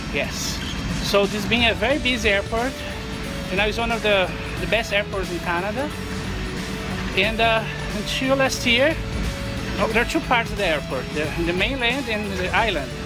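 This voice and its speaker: Clear music plays in the background as a man talks at a moderate pace. He leaves long, frequent pauses. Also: ordinary pitch variation. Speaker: travel vlogger. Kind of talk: casual vlog chat. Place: street. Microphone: phone near.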